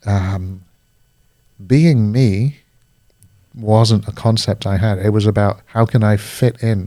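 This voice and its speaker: A man with a British accent speaks at a very slow pace and a fairly low pitch, his dark, mellow tone holding fairly even intonation across long, frequent pauses. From Singapore, then Paris (international schools). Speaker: life coach. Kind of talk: casual conversation.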